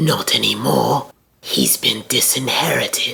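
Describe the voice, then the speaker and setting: A raspy, growling put-on character voice at a fairly slow pace. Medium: audio drama.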